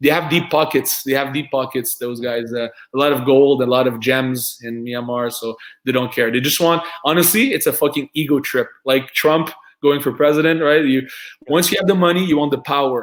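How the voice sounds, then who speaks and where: Moderate pace with ordinary pitch variation, in a French accent. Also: man, fairly high pitch for a man. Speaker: combat sports fighter. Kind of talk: casual interview chat. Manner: halting, many repeated words.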